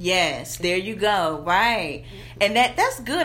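Here a woman with a Southern US accent speaks at medium pitch and a fairly slow pace, with lively intonation. Noticeable background noise is audible. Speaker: branding coach and entrepreneur. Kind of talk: casual interview chat.

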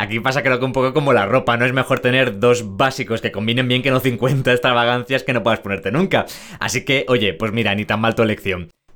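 Bright and sharp in tone, a man with a Spanish accent speaks at a medium pitch and fairly quick pace with ordinary pitch variation. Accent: Spain Spanish. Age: 20s. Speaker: podcast host. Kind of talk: podcast presenting and interviewing.

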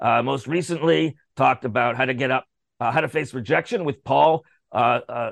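Recorded with a dry, close sound and no echo, a man speaks at a medium pitch and moderate pace with vocal fry. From Canada. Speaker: radio show host. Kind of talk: casual chat. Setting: radio studio. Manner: loud; halting, many fillers.

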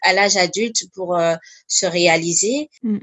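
Her pitch varying in an ordinary way, a woman speaks fairly slowly. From diplomat family, grew up in Korea, Congo, Cameroon; Ivorian roots. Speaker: charity founder and finance employee. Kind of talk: interview. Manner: hesitant with many fillers.

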